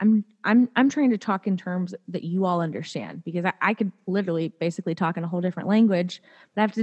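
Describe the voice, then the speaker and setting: A woman's ordinary speaking voice at medium pitch, fairly quick in pace and fairly even in intonation, dry and close with no echo against a quiet background. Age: 30s. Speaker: attorney and podcaster. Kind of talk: casual interview chat.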